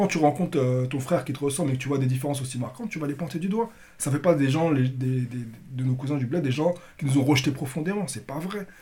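Talking at a very fast pace, a man uses a fairly high pitch, a dark, mellow tone and ordinary pitch variation, and he sounds somewhat breathy. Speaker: podcast host and moderator. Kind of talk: political roundtable discussion.

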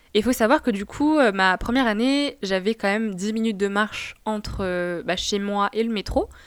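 In a plain, everyday voice with a fairly high pitch and lively intonation, a woman talks on a very clean recording against a silent background. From Tunisia. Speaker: podcast host. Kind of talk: casual personal monologue. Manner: casual.

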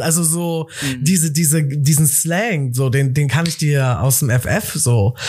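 A man speaks in a fairly high, somewhat breathy voice with an animated tone and lively intonation. The recording is very clean with a silent background. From Cologne, Germany. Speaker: entrepreneur. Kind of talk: casual chat.

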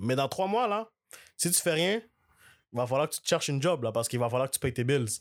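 With a Quebec accent, a man speaks at a fairly quick pace and fairly high pitch, using lively intonation broken by long, frequent pauses, all on a very clean recording with a silent background. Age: 20s. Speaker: content creator. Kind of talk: casual chat.

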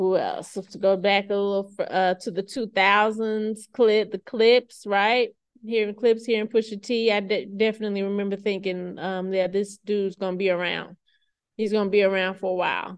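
Here a woman speaks with an American accent at a medium pitch. Her pace is moderate and her intonation is monotone and flat. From US South. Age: 40s. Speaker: podcast host and library staff. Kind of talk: casual solo chat. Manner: laid-back.

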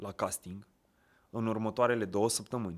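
A man talks at a moderate pace in an animated tone. The recording is very clean with a silent background. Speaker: actor. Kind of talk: casual chat.

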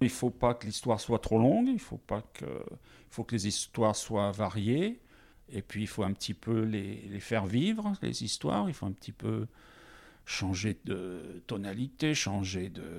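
A fairly low-pitched man with vocal fry and ordinary pitch variation, at a fairly slow pace, on a very clean recording with a silent background. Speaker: teacher and storyteller. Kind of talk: interview. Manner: varied intonation.

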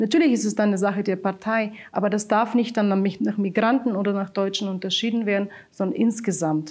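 In a Bulgarian accent, the speaker talks at a fairly quick pace with ordinary pitch variation and very even loudness. The recording is very clean, with a silent background. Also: woman, medium pitch for a woman. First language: Bulgarian (speaking German). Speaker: local migrant council chair. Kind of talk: interview. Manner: hesitant, many filler sounds.

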